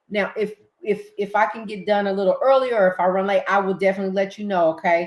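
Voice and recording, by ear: Speaking at a fast pace, a woman keeps a medium pitch and fairly even intonation.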